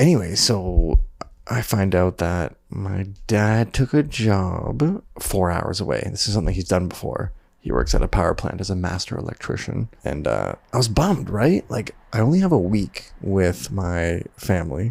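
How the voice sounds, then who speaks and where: Soft-spoken and showing vocal fry, a man with a Canadian accent uses lively intonation. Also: moderate pace. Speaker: videographer. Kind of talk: personal vlog diary. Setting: at home at night.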